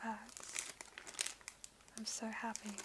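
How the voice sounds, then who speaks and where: A woman's fairly high, monotone, flat delivery over noticeable background noise. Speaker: ASMR creator. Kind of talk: ASMR unboxing. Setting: home office, headset microphone. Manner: whispered, soft-spoken.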